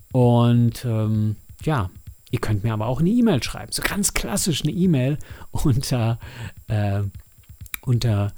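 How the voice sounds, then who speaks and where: A man at medium pitch with lively intonation and music in the background. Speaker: podcast host and audio drama producer. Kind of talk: casual solo monologue. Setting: home studio.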